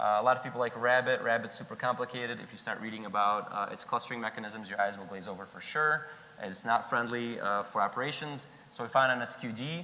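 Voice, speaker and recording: A man's medium-pitched voice at a very fast pace, with big swings in loudness and noticeable background noise. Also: ordinary pitch variation. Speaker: conference speaker, software engineer. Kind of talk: conference talk.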